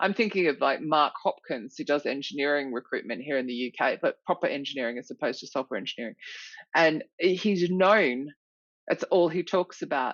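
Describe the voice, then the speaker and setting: Very deep and low in pitch, a woman speaks with an Australian accent. Her tone is animated and her pace fairly quick. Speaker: recruitment author and consultant. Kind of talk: podcast interview.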